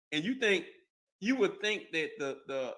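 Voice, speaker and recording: This man's voice has a bright, sharp tone and lively intonation. The recording is very clean, with a silent background. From Mississippi. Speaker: business owner. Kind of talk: casual chat.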